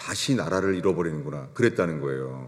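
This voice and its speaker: A man is speaking. His voice has vocal fry. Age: 60s. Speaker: pastor. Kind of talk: sermon.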